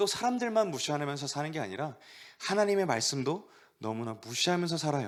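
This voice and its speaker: A man with a fairly high pitch, a fairly quick pace and very wide pitch swings. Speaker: youth pastor. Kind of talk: sermon. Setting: online church service.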